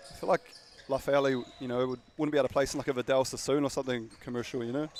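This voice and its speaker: This man has a New Zealand accent and speaks at a very fast pace. Noticeable background noise runs underneath. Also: medium pitch for a man. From New Zealand, Dunedin. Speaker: basketball commentator. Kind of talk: live commentary. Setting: courtside commentary, off camera. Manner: animated.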